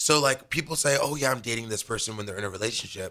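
Talking at a very fast pace, a man with a medium pitch and a bright, sharp tone shows ordinary pitch variation on a very clean recording with a silent background. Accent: American. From Los Angeles, California. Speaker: college gymnast and radio co-host. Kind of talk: casual chat. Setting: live radio studio show.

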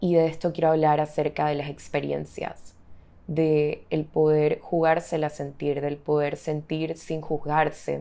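The speaker talks at a fairly slow pace in a dark, mellow tone with monotone, flat intonation. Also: woman, very deep, low pitch for a woman. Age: 20s. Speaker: podcast host. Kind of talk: solo reflective monologue. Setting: home bedroom.

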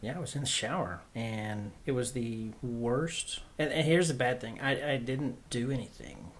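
A man's somewhat breathy, medium-pitched voice with an American accent, ordinary pitch variation, a moderate pace and hardly any pauses. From Oklahoma. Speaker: guest sharing faith testimony. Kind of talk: testimony.

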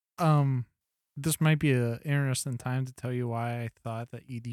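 A man with a normal speaking voice and fairly even intonation, the sound dry and close with no echo. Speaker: podcast host. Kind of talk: casual banter between co-hosts.

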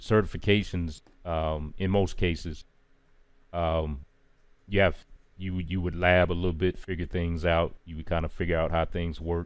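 On a very clean recording with a silent background, a man with an American accent and a very deep, low pitch speaks at a moderate pace in a monotone, flat intonation, with long, frequent pauses. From US South, Charlotte, North Carolina. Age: 40s. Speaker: cybersecurity engineer and podcast host. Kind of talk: casual interview chat. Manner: hesitant, many fillers and repetitions.

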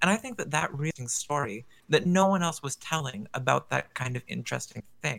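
In an unremarkable speaking voice, a man talks at a fairly quick pace and fairly high pitch, with lively intonation. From Canada. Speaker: guest. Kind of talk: casual podcast chat. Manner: playful, joking.

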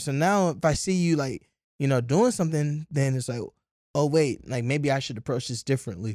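A man's fairly high, normal speaking voice with an American accent, lively intonation and a moderate pace. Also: dry, close sound with no echo, very clean recording, silent background. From Columbus, Ohio, US. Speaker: entrepreneur and community organizer. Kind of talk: casual interview chat. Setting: studio.

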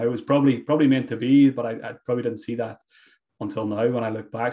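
This man speaks with a Donegal accent. His pitch is medium and his intonation fairly even. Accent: Donegal Irish. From Ireland, County Donegal. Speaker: fantasy football expert. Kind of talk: casual interview. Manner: repetitive, hesitant fillers.

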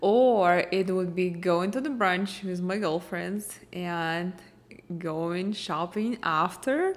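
A woman with a Russian accent at a very slow pace, medium pitch, ordinary pitch variation. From eastern Ukraine (Mariupol). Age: 30s. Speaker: fashion blogger and podcast host. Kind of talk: solo Q&A podcast monologue.

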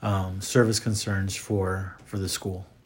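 A somewhat breathy voice with an American accent at a fairly slow pace. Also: man. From Texas, Rio Grande Valley (McAllen). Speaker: school director of mission, campus ministry. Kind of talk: interview. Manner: hesitant, many fillers.

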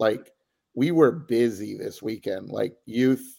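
A plain, everyday voice from a man at medium pitch, with a fairly slow pace and a very clean recording over a silent background. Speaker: youth rugby administrator. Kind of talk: casual interview.

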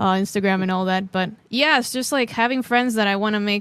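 A woman speaks in an ordinary speaking voice at a medium pitch, with fairly even intonation. The recording is very clean, with a silent background. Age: 30s. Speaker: drummer and streamer. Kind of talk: casual interview.

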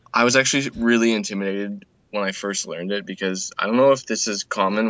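Delivered at a fairly quick pace, this unremarkable speaking voice keeps a fairly even intonation. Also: man. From Canada. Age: 20s. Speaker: speedcuber, blindfold solving tutorial maker. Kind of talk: casual chat; tutorial.

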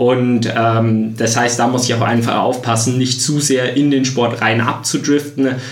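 Over noticeable background noise and audible room echo, a man speaks at a medium pitch in a monotone, flat delivery with very even loudness and hardly any pauses. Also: fairly slow pace. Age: 20s. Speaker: triathlete. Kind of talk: interview. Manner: many fillers like äh, ähm.

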